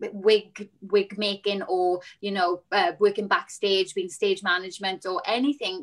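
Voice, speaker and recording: A woman with a south Wales accent against a quiet background. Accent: south Wales (Valleys). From Wales, Rhondda. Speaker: musical theatre performer; guest. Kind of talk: panel discussion. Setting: video call. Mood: frustrated, indignant. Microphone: video call.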